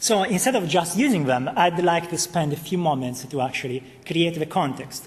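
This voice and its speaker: Recorded with audible room echo, a man with an Italian accent speaks in a high voice with lively intonation. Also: moderate pace. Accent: Italian accent, noticeable. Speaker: architect evangelist. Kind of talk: conference tech presentation. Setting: conference session stage with audience.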